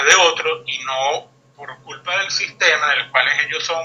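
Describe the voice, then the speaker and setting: Here a man speaks in a high voice at a fairly slow pace. His pitch varies an ordinary amount. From Venezuela. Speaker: guest commentator. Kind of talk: interview discussion. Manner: hesitant, many fillers.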